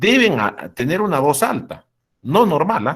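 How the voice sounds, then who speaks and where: His pitch swings very widely as this man speaks. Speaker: university lecturer. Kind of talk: lecture. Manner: halting; loud.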